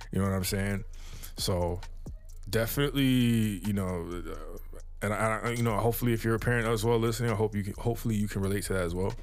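Audible room echo surrounds a man with a fairly low pitch. He talks very fast yet leaves long, frequent pauses. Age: 30s. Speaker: music producer and podcast host. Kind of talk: casual solo podcast monologue. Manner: laid-back, lots of fillers.

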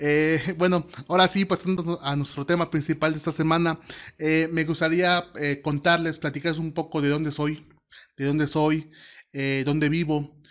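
Over a very clean recording with a silent background, a man with fairly high pitch speaks monotone and flat at a moderate pace, with long, frequent pauses. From Mexico, Oaxaca. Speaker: podcast host, student. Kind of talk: solo podcast monologue. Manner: hesitant, many fillers.

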